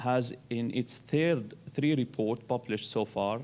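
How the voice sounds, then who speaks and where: Speaking in an Arabic accent, a man keeps a medium pitch and moderate pace. His pitch variation is ordinary. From Syria. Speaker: human rights researcher. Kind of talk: conference panel presentation. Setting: conference panel. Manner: halting.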